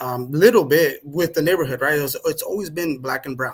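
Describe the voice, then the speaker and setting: A man with a Spanish accent speaks at a moderate pace. His tone is bright and sharp. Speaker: podcast guest. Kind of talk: conversational interview.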